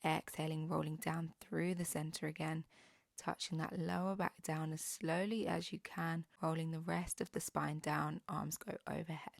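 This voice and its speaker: Using vocal fry, a woman with a very deep, low pitch talks at a moderate pace with fairly even intonation, the sound dry and close with no echo. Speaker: pilates instructor. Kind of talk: follow-along workout instruction. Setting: home workout video, instructing while exercising.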